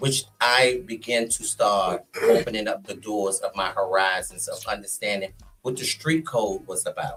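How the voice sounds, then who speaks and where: A man with an American accent at a moderate pace, music in the background. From Washington DC (Southeast/Southwest). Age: 60s. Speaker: go-go scene figure, podcast guest. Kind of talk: casual interview storytelling.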